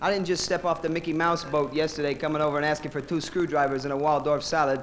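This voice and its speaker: A man with a fairly high pitch and an American accent talks very fast in a flat monotone. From United States. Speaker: stand-up comedian. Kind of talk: stand-up; interview. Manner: halting, many fillers.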